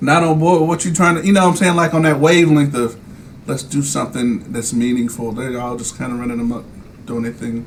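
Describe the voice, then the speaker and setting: Over noticeable background noise, a man with an American accent and a fairly high pitch talks at a fairly quick pace with ordinary pitch variation. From New Jersey. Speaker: podcast host. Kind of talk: casual chat.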